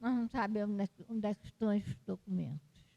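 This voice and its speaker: A woman's somewhat breathy, dark and mellow voice at a moderate pace, dry and close with no echo. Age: 80s+. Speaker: retired history professor and author. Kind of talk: interview at book launch. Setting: university library event. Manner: halting.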